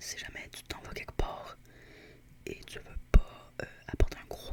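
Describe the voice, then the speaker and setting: The speaker whispers at a very slow pace. Background noise is noticeable. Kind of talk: ASMR roleplay as a squishy shop seller talking to a customer.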